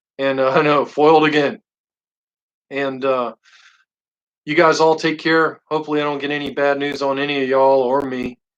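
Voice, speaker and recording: With monotone, flat intonation, a man speaks at a fairly high pitch. His pace is moderate, with long, frequent pauses. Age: 40s. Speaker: livestream host, custom lightsaber builder. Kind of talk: casual live stream chat. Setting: live stream.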